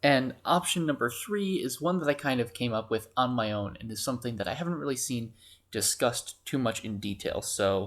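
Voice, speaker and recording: A quiet man's voice of medium pitch with lively intonation. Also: moderate pace, hardly any pauses, very clean recording, silent background. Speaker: student. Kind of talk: casual fan theory talk. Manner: quiet, hushed.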